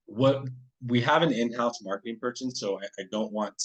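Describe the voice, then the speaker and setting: A man speaks at a medium pitch. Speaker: sales representative for a paper products distributor. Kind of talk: webinar product presentation. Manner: fast; halting, many fillers and restarts.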